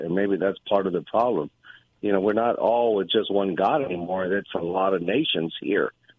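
A man with a plain, everyday voice, fairly low in pitch, with ordinary pitch variation at a moderate pace. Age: 60s. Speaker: caller. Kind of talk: casual chat. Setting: phone call.

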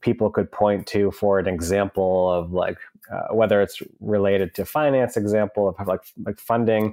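A man with an American accent uses a plain, everyday voice at a moderate pace with fairly even intonation. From US Northeast, south of Boston. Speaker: entrepreneur. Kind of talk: interview conversation.

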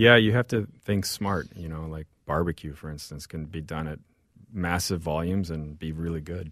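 A man with a Midwestern accent speaks in a very deep, low pitch on a very clean recording with a silent background. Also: ordinary pitch variation, moderate pace, big swings in loudness. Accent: American Midwestern. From St. Louis, Missouri (born in Mexico). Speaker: chef and restaurant owner. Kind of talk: interview conversation.

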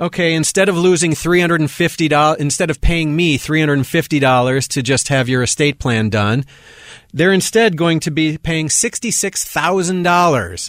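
With an American accent, a man talks at a moderate pace in an unremarkable speaking voice, fairly high in pitch, with ordinary pitch variation and very even loudness. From Milwaukee, Wisconsin. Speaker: estate planning lawyer. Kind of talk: casual interview.

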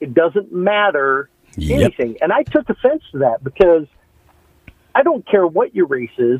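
A man speaks with an American accent at a high pitch. His pitch swings very widely, and his pace is moderate. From Nebraska. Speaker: caller. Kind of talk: radio call-in. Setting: phone call.

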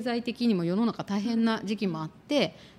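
Here a woman talks at a moderate pace in a normal speaking voice. Her pitch is fairly high. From Tokyo, Japan. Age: 50s. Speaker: career consultant and podcast co-host. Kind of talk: casual interview chat.

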